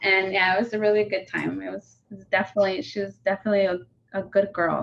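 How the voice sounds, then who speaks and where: Someone with a Spanish accent talks at a very fast pace. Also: woman. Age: 20s. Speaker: youth outreach coordinator. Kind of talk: interview testimony.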